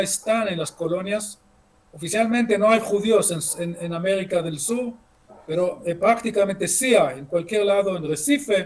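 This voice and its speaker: A man with a high pitch and ordinary pitch variation, talking at a fairly slow pace amid noticeable background noise. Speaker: history lecturer. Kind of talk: lecture. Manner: halting, many fillers and repeats.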